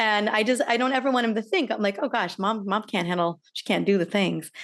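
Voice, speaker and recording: An unremarkable speaking voice moves at a fairly quick pace with ordinary pitch variation over a quiet background. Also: woman, fairly high pitch for a woman. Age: 40s. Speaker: podcast host, doctor. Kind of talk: interview.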